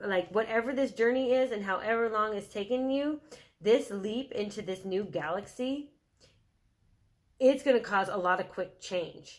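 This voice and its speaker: Lively intonation marks the speech. Its pace is fairly slow. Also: woman. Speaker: tarot reader. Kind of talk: tarot reading. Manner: halting, many fillers.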